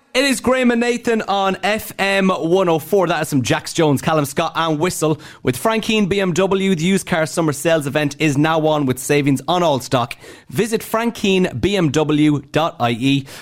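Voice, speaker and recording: A man with a Dublin accent, a fairly high pitch, a fairly slow pace and hardly any pauses. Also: lively intonation. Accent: Dublin Irish. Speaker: radio host. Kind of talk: radio dj patter, upbeat drive-time banter with link-ins to songs, ads and traffic.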